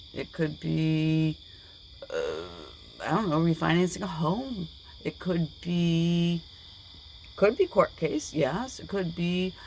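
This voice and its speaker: Against noticeable background noise, a woman speaks at a fairly low pitch with ordinary pitch variation. Her pace is very slow, with long, frequent pauses. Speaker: tarot reader. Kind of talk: tarot reading. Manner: animated.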